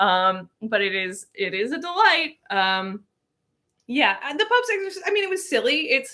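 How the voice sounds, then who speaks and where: Very wide pitch swings, a moderate pace and a raised, projected voice. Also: woman. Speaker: cooking livestream host. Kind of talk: casual livestream chat while cooking.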